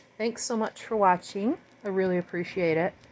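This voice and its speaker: Her tone is warm and her pitch medium. The woman's voice shows ordinary pitch variation. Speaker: fluid art painter, video tutorial host. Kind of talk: tutorial. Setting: home art studio. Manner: casual and warm; fast.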